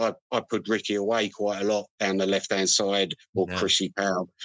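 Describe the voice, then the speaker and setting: A man speaks with a London accent. The background is quiet, and the sound is dry and close with no echo. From London, Harrow. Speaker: retired footballer. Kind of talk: interview.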